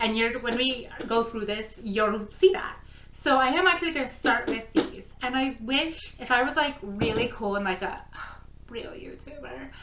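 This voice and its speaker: Loud and animated, a woman speaks at a moderate pace in a high pitch with lively intonation, with audible room echo and noticeable background noise. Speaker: crafting vlogger. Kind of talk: casual vlog talk. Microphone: no microphone, camera mic.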